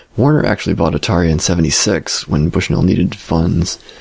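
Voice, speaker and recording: A man's very deep, low voice at a fairly quick pace, ordinary in pitch variation, over noticeable background noise. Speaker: podcast host. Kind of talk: solo podcast monologue.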